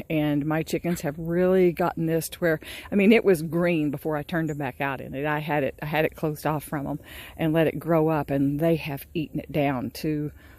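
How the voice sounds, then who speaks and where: A woman speaks at a fairly quick pace. Her pitch is very deep and low, and her intonation stays fairly even. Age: 60s. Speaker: small farmer and gardening vlogger. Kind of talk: casual vlog talk to camera. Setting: outdoors on her farm. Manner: halting, with many repeats and fillers.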